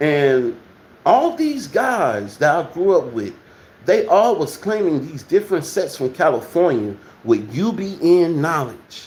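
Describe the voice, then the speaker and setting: This man has an American accent and a high pitch. He speaks at a fairly slow pace with very wide pitch swings. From Texas. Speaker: livestream host. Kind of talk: casual livestream chat. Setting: at home.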